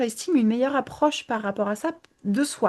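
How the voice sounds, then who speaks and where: A woman's fairly high voice with lively intonation at a moderate pace, over a quiet background. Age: 20s. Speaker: image consultant. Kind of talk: interview. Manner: hesitant, many fillers.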